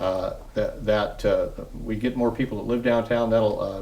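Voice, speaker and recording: With monotone, flat intonation at a medium pitch, a man speaks amid audible room echo and noticeable background noise. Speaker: city public works official. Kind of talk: TV interview. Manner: fast; halting, many fillers.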